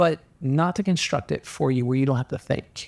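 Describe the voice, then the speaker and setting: The recording is very clean, with a silent background. A man is the one talking. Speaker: business coach and company founder. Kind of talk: podcast interview. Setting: studio. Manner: high energy.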